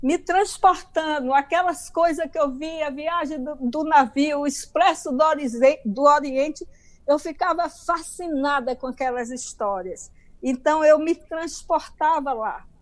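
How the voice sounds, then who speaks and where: A woman's high-pitched voice at a very slow pace. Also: ordinary pitch variation. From Bahia, Brazil. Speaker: author. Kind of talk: interview, life story. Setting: video call.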